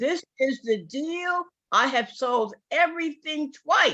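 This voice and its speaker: Against a quiet background, a woman with a New York accent speaks in a raised, projected voice, her tone animated, bright and sharp, with lively intonation. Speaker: sales distributor. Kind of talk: testimony.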